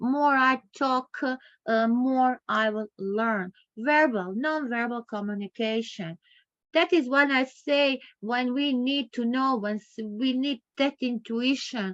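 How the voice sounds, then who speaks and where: A woman's high voice, very slow, with ordinary pitch variation and a dry, close sound free of echo. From Croatia. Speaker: professor, lecturer. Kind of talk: online masterclass lecture. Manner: halting, repetitive phrasing.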